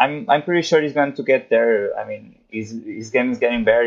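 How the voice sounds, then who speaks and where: The speaker talks at a moderate pace with a Portuguese accent. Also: man. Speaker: tennis writer. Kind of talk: interview. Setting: remote call from home, late at night. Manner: halting.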